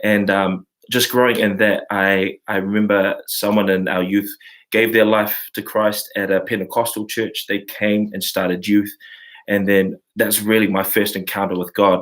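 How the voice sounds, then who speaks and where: A man with a New Zealand accent speaks in a flat monotone at a moderate pace and a fairly low pitch. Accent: New Zealand (Kiwi). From New Zealand, Samoan community. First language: Samoan. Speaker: worship leader and class host. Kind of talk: online live class, casual talk. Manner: halting, many fillers.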